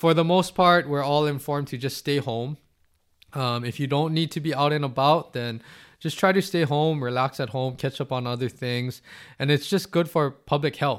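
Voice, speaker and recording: On a very clean recording with a silent background, a man has an ordinary speaking voice with a fairly high pitch and ordinary pitch variation. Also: moderate pace. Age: 30s. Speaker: athletic trainer and podcast host. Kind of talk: solo podcast monologue.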